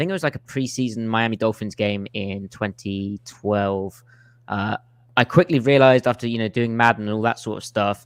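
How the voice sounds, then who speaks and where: Speaking at a moderate pace with an English accent, a man uses a medium pitch and ordinary pitch variation. The sound is dry and close with no echo, over a quiet background. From England. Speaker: football film analyst, podcaster. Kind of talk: casual podcast chat.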